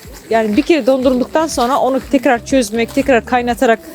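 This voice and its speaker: Over noticeable background noise, a woman talks at a fairly quick pace and a high pitch, with ordinary pitch variation. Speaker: travel documentary presenter. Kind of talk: travel vlog narration. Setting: outdoors.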